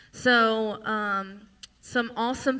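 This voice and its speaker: A woman with a strong Louisiana accent, a fairly high pitch, a bright, sharp tone and fairly even intonation, in a very clean recording with a silent background. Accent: thick Louisiana Southern. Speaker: singer-songwriter and show host. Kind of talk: live stage banter. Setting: stage with audience.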